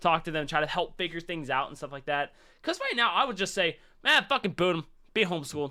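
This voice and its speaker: A man's bright, sharp tone moves through very wide pitch swings, with vocal fry. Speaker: podcast co-host. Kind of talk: casual chat.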